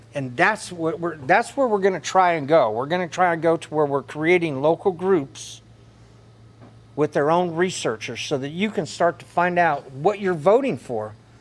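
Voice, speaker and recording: A loud, high-pitched man with a Southern US accent, lively intonation and a moderate pace. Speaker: political speaker. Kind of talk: lecture.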